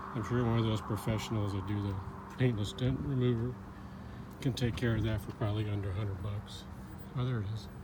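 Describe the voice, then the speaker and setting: A man's fairly low-pitched voice with fairly even intonation, a very fast pace, long, frequent pauses, and audible room echo. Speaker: car seller. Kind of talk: product walkaround video. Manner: monotone.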